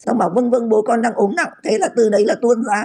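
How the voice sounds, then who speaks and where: A woman's fairly quick speech, fairly high in pitch, with a dark, mellow tone. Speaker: doctor of science expert. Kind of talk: expert interview explaining.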